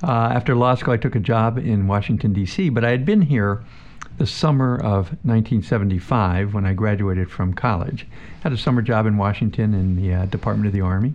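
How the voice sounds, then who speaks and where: A man with an American accent speaks at a moderate pace and a fairly low pitch, with ordinary pitch variation. His loudness stays very even against noticeable background noise. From northeastern Pennsylvania. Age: 60s. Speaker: city council member. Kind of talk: radio interview.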